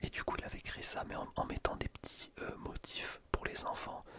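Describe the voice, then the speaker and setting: Noticeable background noise accompanies a whisper delivered at a moderate pace. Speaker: ASMR YouTuber, student. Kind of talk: casual talk to camera.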